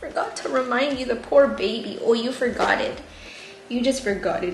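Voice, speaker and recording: A high-pitched woman's voice at a fairly quick pace, ordinary pitch variation, music in the background and audible room echo. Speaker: plant YouTuber. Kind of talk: casual vlog chat and reading stories aloud. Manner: soft-spoken, jaw not fully opening.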